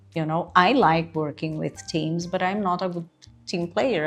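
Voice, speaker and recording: Music plays in the background as a woman with a Portuguese accent speaks in a fairly low pitch. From Brazil. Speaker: career coach. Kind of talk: tutorial.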